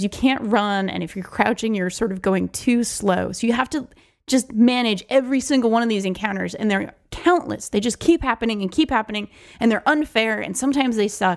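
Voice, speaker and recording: A woman's normal speaking voice at a fairly quick pace, ordinary pitch variation, and a very clean recording with a silent background. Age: 30s. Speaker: podcast co-host. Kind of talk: casual chat.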